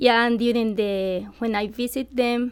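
In a Colombian accent, a woman talks at a fairly slow pace with a fairly high pitch and fairly even intonation. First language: Spanish. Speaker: nonprofit volunteer. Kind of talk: radio interview. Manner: halting.

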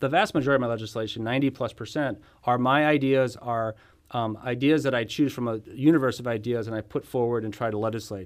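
A man with an American accent talks at a very fast pace and a medium pitch. His intonation is fairly even, on a very clean recording with a silent background. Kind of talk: casual political interview. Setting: studio.

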